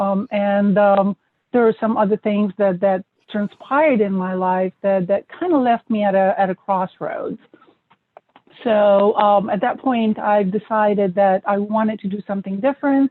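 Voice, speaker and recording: Speaking with a non-native accent, a woman uses a medium pitch and ordinary pitch variation. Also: moderate pace. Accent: foreign. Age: 40s. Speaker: M&A expert, author. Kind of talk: interview.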